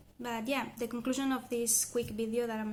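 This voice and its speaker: A woman with a Spanish accent, fairly high pitch, fairly even intonation and a fairly slow pace. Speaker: language learner vlogger. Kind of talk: casual vlog monologue. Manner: hesitant with fillers and self-corrections.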